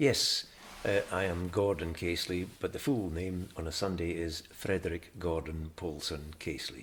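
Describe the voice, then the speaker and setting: Somewhat breathy, very deep, low man's voice at a moderate pace. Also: ordinary pitch variation. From Scotland (Glasgow, then Aberdeen). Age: 70s. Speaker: retired journalist, interviewee. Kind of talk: oral history interview. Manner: hesitant, many fillers and restarts.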